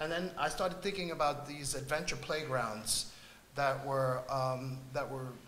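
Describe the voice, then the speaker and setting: A man with a Spanish accent and a fairly high pitch speaks at a fairly slow pace, with audible room echo and noticeable background noise. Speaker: artist on a panel. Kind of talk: panel discussion. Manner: halting, many fillers.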